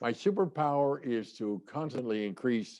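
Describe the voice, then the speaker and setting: Dark, mellow tone from a man. His pitch shows ordinary variation. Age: 90s. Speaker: sales trainer and author. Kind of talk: interview. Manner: halting.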